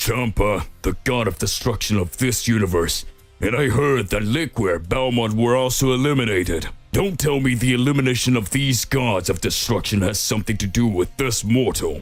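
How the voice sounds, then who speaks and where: Faint music plays in the background. A man performs a put-on character voice at medium pitch. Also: moderate pace, ordinary pitch variation. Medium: read story.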